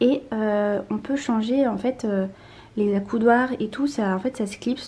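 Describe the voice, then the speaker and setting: A somewhat breathy voice with a dark, mellow tone. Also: woman. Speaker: lifestyle vlogger. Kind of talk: casual vlog. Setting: at home, apartment tour. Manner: soft-spoken; hesitant, many fillers.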